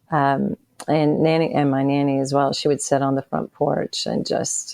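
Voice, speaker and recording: Her voice is very deep and low, in an Appalachian accent. The woman keeps a moderate pace. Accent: Southern US (Appalachian). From US South, Bristol on the Virginia-Tennessee line. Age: 60s. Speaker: author and podcast co-host. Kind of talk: interview testimony.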